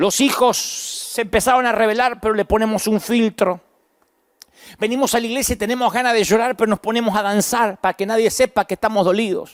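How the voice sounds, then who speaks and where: The speaker has an Argentine accent. The pace is fairly quick. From Argentina, Buenos Aires province. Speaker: pastor. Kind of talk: sermon.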